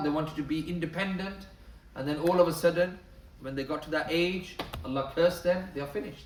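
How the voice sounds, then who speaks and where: With audible room echo and noticeable background noise, a man speaks at a moderate pace in a high pitch with fairly even intonation. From northern England, Bradford. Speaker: Islamic lecturer. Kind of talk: lecture.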